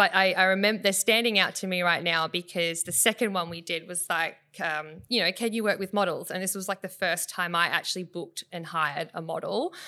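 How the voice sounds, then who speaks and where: A woman with a bright, sharp tone speaks at a fairly quick pace and medium pitch, her intonation fairly even. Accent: Australian. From South West Western Australia, Bunbury. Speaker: photographer and business owner. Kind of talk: casual interview.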